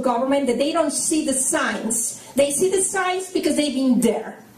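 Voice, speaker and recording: A woman talks at a moderate pace in a high pitch with lively intonation. Noticeable background noise and audible room echo fill the recording. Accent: strong Mexican. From Mexico. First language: Spanish. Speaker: conservative political activist. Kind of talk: rally speech. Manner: halting, with fillers.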